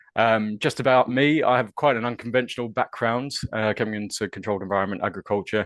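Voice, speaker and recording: The speaker moves at a very fast pace with hardly any pauses and fairly even intonation. The background is quiet. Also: man, medium pitch for a man, dry, close sound with no echo. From New Zealand. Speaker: university research fellow. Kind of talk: webinar presentation. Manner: hesitant, many fillers.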